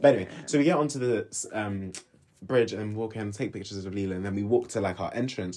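A man with a London accent speaks very fast in a fairly low, dark, mellow voice with ordinary pitch variation. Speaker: podcast host. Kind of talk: casual chat.

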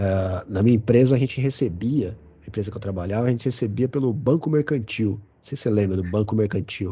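A somewhat breathy man, very fast, at a fairly low pitch with ordinary pitch variation. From São Paulo south zone (Grajaú), Brazil. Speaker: teacher and runner. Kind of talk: casual chat.

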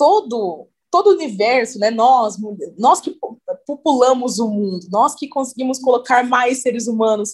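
A woman's normal speaking voice at a fairly slow pace, with ordinary pitch variation. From interior of São Paulo state (Cruzeiro, near Rio border). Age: 20s. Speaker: model and beauty pageant titleholder. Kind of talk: casual interview.

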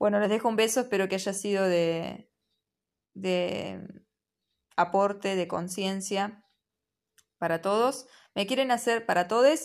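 A woman speaks at a fairly slow pace and a medium pitch, with ordinary pitch variation and long, frequent pauses, on a very clean recording with a silent background. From Argentina, Buenos Aires province. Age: 30s. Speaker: spiritual podcaster. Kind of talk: reflective monologue. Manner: halting, with many fillers.

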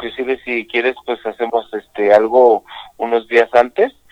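A Mexico City accent at a fairly slow pace. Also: man. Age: 50s. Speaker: pulque bar owner. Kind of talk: interview. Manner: halting, repeats words.

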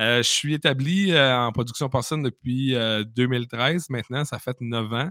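At a very slow pace, a man with a Quebec accent talks in a medium pitch with ordinary pitch variation. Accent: Québécois French. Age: 30s. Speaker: pig farmer. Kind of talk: casual chat. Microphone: hotel internet connection, echo.

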